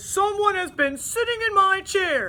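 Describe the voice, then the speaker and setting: A woman puts on a character voice at an extremely high pitch and a moderate pace. Light background noise can be heard. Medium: read story.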